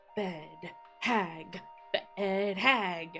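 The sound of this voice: Put-on character voice, female-sounding, strained and wheezy at medium pitch, with audible echo and music in the background.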